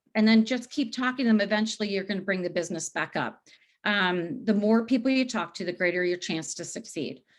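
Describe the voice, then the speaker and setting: Ordinary pitch variation shapes the speech of a woman with a medium pitch and an American accent. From US East Coast. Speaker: wine business sales recruiter. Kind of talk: webinar tips presentation. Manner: fast.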